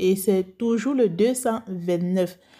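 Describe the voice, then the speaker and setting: A woman with a Cameroonian accent, medium pitch and a dark, mellow tone, fairly even intonation at a fairly slow pace, on a very clean recording with a silent background. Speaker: beauty youtuber, cosmetics seller. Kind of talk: vlog talk to viewers. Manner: calm, measured.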